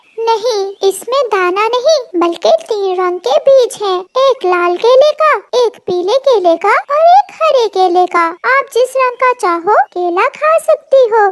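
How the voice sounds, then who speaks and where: In a squeaky, cartoonish character voice with an extremely high pitch, a woman speaks at a fairly slow pace. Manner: gentle, wise.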